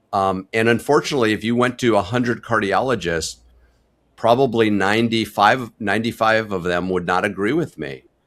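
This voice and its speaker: In a very clean recording with a silent background, a man with a plain, everyday voice talks at a fairly quick pace, with fairly low pitch and ordinary pitch variation. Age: 60s. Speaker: family physician. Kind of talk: interview. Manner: candid, conversational.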